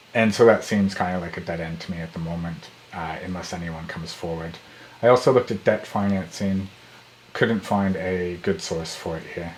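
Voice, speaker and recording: With an Australian accent, a man talks at a moderate pace in a very deep, low voice with ordinary pitch variation, over noticeable background noise. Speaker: startup founder vlogger. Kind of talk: video update.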